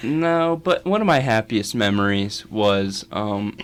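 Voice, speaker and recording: Against noticeable background noise, a man with a fairly low pitch talks with an American accent. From West Virginia. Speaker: college radio host. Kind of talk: casual chat.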